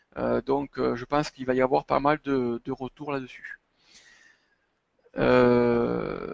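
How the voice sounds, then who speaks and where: There are long, frequent pauses as a man speaks at a very slow pace in a dry, close sound with no echo. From southern France, Montpellier area. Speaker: chartered accountant. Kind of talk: webinar presentation and Q&A. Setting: online webinar. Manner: hesitant, many fillers.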